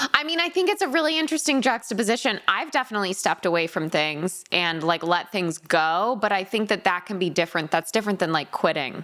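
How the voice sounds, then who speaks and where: Very fast and with hardly any pauses, an American-accented voice makes very wide pitch swings over noticeable background noise. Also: woman, medium pitch for a woman. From Connecticut. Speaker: podcast host. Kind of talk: casual chat. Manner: animated.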